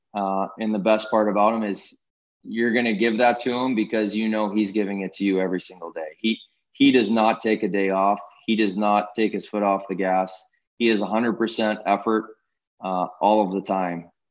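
A man speaks with a Pittsburgh accent in a fairly low voice. His delivery is flat and monotone at a moderate pace. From Pittsburgh, Pennsylvania. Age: 30s. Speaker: hockey executive and former goalie. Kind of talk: interview.

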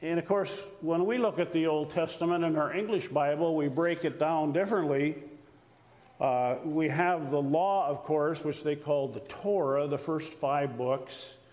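With audible room echo, a man speaks at a fairly high pitch, with ordinary pitch variation and very even loudness. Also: moderate pace. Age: old. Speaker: retired missionary. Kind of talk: sermon. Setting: church.

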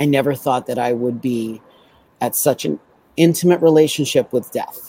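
This man speaks with a New York accent in a fairly high pitch. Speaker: aerial designer and author. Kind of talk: casual chat. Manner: animated.

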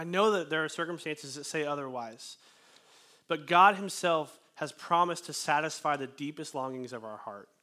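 This man talks at a fairly quick pace with ordinary pitch variation and a bright, sharp tone. The recording is very clean, with a silent background. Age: 20s. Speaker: pastor. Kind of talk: sermon. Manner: casual, with frequent fillers.

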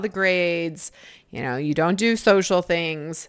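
This recording is very clean, its background silent. A woman talks with a fairly low pitch. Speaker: podcast host and life coach. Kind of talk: solo podcast monologue. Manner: casual with frequent laughter.

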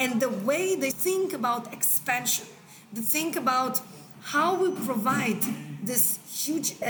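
Noticeable background noise runs under the recording. A woman speaks with a high pitch at a fairly slow pace. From Israel. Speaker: angel investor. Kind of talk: interview.

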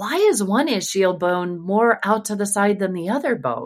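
A woman's normal speaking voice at medium pitch and a fairly slow pace, in a very clean recording with a silent background. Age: 50s. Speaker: pelvic health physical therapist. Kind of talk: interview.

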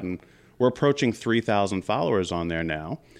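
Against a quiet background, a man with an American accent speaks at a fairly quick pace in a normal speaking voice with ordinary pitch variation. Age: 40s. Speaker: business network founder and financial planner. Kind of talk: interview. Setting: studio.

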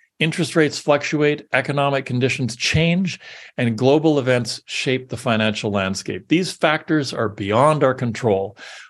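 A man speaks in a plain, everyday voice at a moderate pace with medium pitch and ordinary pitch variation. The background is quiet. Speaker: podcast host. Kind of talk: reading aloud an AI-written pep talk, with ad-libbed asides. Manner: earnest, rallying podium delivery; dry, wry asides between lines.

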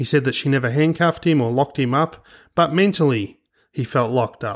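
Speaking fairly quickly with an Australian accent, a man's fairly high voice comes through on a very clean recording with a silent background. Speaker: private investigator and podcast host. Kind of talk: scripted podcast narration.

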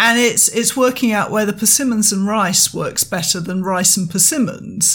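With a plain, everyday voice, a woman of medium pitch speaks at a moderate pace with hardly any pauses. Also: ordinary pitch variation. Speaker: podcast host and artist. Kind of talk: casual conversational podcast discussion.

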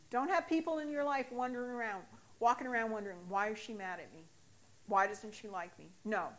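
Speaking at a fairly quick pace in an American accent, a woman has a fairly high pitch and a normal speaking voice. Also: lively intonation, big swings in loudness. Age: 60s. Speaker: recovering alcoholic sharing testimony. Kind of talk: testimony.

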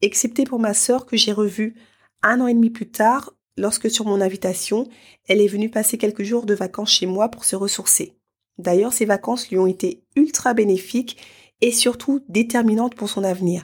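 Her pitch is fairly high and her voice somewhat breathy. The woman keeps a moderate pace with ordinary pitch variation. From France, Paris. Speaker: podcast host and life coach. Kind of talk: solo podcast monologue.

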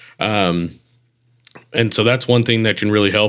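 Here a man speaks in a normal speaking voice at a fairly low pitch and a fairly quick pace, with ordinary pitch variation. The recording is very clean with a silent background. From Texarkana, Texas. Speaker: band director. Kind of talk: interview.

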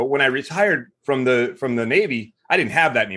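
In a normal speaking voice, a man speaks fairly quickly at a medium pitch. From US South, Mississippi. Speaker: retired military veteran, business founder. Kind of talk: casual interview.

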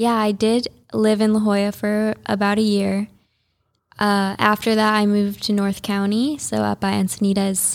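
In a very clean recording with a silent background, a woman speaks with an American accent at a medium pitch. Her intonation is monotone and flat, her pace moderate, and her loudness very even. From US Midwest, Chicago suburbs. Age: 20s. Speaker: yoga teacher and influencer. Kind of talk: interview. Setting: studio.

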